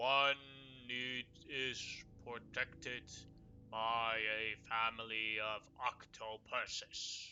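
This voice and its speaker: A put-on character voice delivers its lines at a very slow pace with monotone, flat intonation. Long, frequent pauses break up the speech. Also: man, medium pitch for a man. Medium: actual play. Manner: calm, plain-spoken.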